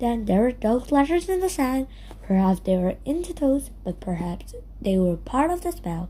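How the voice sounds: Her pitch is fairly high and swings widely, her tone is dark and mellow, and this woman keeps a moderate pace.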